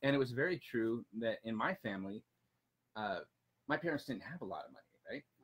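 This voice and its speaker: A man talks at a fairly quick pace with lively intonation, big swings in loudness, and long, frequent pauses. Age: 40s. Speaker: personal finance blogger. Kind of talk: casual chat. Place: garden. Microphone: camera far.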